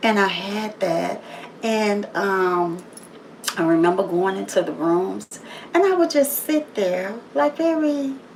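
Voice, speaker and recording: Loud and at a very slow pace, a woman at a medium pitch swings her pitch very widely and takes long, frequent pauses, with noticeable background noise behind her. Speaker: motivational livestreamer. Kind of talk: motivational monologue. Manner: loud and assertive.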